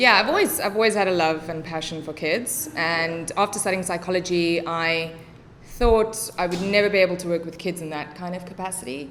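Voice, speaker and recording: Someone with a South African accent speaks at a fairly quick pace, with ordinary pitch variation and big swings in loudness. Audible room echo and noticeable background noise are present. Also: woman, fairly low pitch for a woman. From South Africa, Cape Town northern suburbs. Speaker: English teacher and special education tutor. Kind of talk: casual podcast interview.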